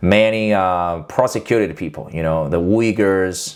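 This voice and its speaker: The voice carries a Chinese accent. Its pitch varies in an ordinary way. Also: man. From China. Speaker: YouTuber, political commentator. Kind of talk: casual vlog commentary. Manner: halting, many fillers.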